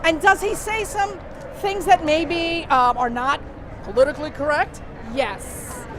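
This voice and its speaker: With music in the background, a woman speaks in a high voice with lively intonation. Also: fairly slow pace. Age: old. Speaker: rally attendee interviewed. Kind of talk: street interview.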